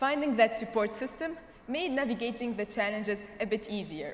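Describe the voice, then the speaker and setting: Lively intonation from a woman with a fairly high pitch at a moderate pace, with audible room echo and noticeable background noise. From Tunisia. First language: not English (English is third language). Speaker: graduating student speaker. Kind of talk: commencement speech. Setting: stage with audience.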